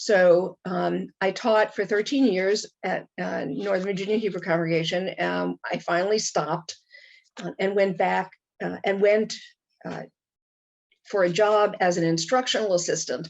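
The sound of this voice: The voice moves at a fairly slow pace with fairly even intonation and a touch of vocal fry. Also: woman, fairly low pitch for a woman.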